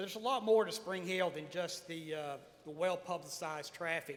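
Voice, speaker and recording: This man talks in a Tennessee accent at a moderate pace, his pitch high. Room echo is audible around him. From Tennessee (Lawrence County, Smyrna). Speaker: mayor. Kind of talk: panel talk. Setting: stage with audience. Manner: halting, many fillers.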